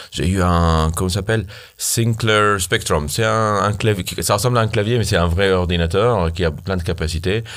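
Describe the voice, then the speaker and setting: This man has a very deep, low voice and talks at a moderate pace. His intonation stays fairly even, and his loudness is very even throughout. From Syria. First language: Arabic (speaking French). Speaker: startup founder, software engineer. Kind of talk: casual interview. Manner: halting.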